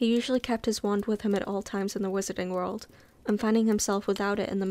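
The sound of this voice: The words are spoken in an unforced reading voice.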